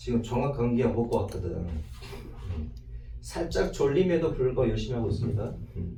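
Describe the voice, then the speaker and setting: Male speech at a moderate pace amid noticeable background noise and audible room echo. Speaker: math teacher. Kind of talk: lecture. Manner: casual, rhetorical questions.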